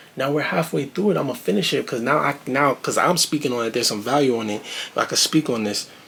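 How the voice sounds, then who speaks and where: A man with a New York accent, fairly quick and lively in intonation. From Brooklyn, New York. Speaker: reaction video creator. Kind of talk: video reaction commentary. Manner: animated.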